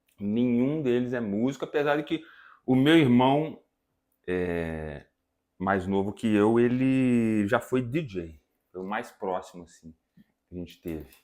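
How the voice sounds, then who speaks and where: In a Minas Gerais accent, a man talks at a medium pitch with lively intonation, big swings in loudness and long, frequent pauses, against a quiet background. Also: fairly slow pace. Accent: mineiro. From Brazil, Minas Gerais (Viçosa). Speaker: musician and music teacher. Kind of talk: casual interview chat.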